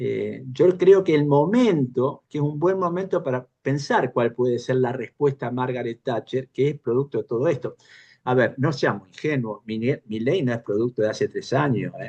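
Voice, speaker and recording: At a moderate pace and with hardly any pauses, a man speaks at medium pitch in a dark, mellow tone with ordinary pitch variation, the sound dry and close with no echo. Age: 70s. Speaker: panel participant in political discussion forum. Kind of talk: panel discussion. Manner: halting, many false starts.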